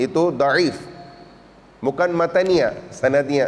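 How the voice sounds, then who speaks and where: A man is speaking. He has a Pakistani accent. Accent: Pakistani accent in Indonesian. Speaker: Islamic preacher. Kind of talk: religious sermon. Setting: mosque. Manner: halting, self-correcting.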